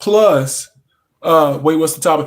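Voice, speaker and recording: Delivered at a moderate pace, the speech has lively intonation and a Louisiana accent. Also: man. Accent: Southern US (Louisiana). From North Louisiana, US South. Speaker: pop culture live streamer. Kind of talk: casual live stream chat. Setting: live stream at home in a recliner. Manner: halting, many fillers.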